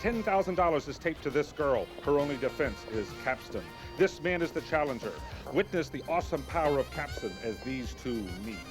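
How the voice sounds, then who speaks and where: The speaker moves along at a fairly quick pace. Background music plays throughout. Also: man. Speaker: infomercial host narrator. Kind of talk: infomercial narration, 1980s TV promo.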